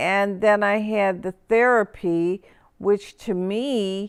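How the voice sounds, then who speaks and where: Very slowly and with fairly even intonation, a woman speaks in a dry, close sound with no echo. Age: 60s. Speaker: knee replacement patient. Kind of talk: testimonial interview. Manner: conversational, hesitant.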